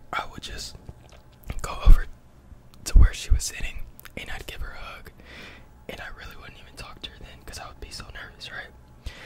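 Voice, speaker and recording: A man whispering at a fairly quick pace, with long, frequent pauses, big swings in loudness and noticeable background noise. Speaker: ASMR mukbang creator. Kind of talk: casual talk to camera while eating.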